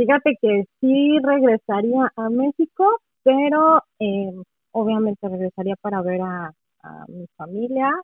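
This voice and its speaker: Lively in intonation, a woman talks at a very slow pace with a fairly high pitch. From Mexico City. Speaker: professional translator. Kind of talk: casual interview.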